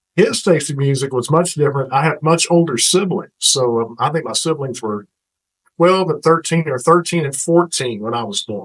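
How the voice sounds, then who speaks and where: Lively intonation marks a man with an American accent who talks at a moderate pace and a fairly high pitch. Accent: Texan, lighter than it used to be. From Northeast Texas (Paris). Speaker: radio host and program director. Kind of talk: podcast interview.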